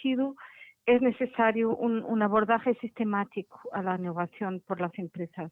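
A woman speaks with a Portuguese accent at a fairly high pitch. Her pitch rises and falls in an ordinary way. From Portugal. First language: Portuguese (speaking Spanish). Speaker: innovation standards expert. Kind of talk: interview. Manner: halting.

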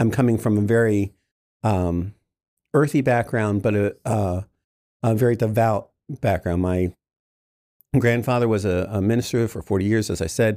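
In a very clean recording with a silent background, a man with a dark, mellow tone and fairly low pitch speaks at a moderate pace with ordinary pitch variation and long, frequent pauses. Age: 50s. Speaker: artist and graphic designer. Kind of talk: casual interview conversation.

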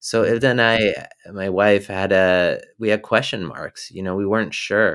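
A man's plain, everyday voice with an American accent, fairly low-pitched, at a fairly slow pace with fairly even intonation, in a very clean recording with a silent background. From rural New Jersey. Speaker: documentary filmmaker. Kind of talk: interview.

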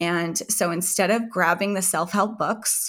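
A woman with a bright, sharp tone speaks at a fairly slow pace with ordinary pitch variation on a very clean recording with a silent background. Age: 40s. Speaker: entrepreneur and author on women's hormone health. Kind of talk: interview conversation.

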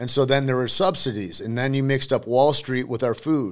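In a very clean recording with a silent background, a man with an American accent talks at a fairly quick pace. He has an ordinary speaking voice and ordinary pitch variation. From Michigan. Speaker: actor and former MMA fighter. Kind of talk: casual chat. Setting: studio.

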